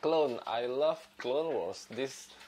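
Over light background noise, a man with a non-native accent speaks at a very slow pace. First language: not English. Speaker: video creator. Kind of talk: casual channel introduction monologue. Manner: halting, hesitant with fillers. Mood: friendly, enthusiastic. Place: home room. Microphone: lapel.

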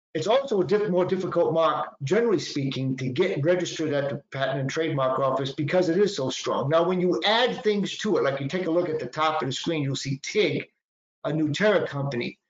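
With a Boston accent and lively intonation, a man speaks fairly quickly at a fairly high pitch in a space with audible room echo. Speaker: patent attorney presenter. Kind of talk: lecture. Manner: conversational, informal. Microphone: webcam.

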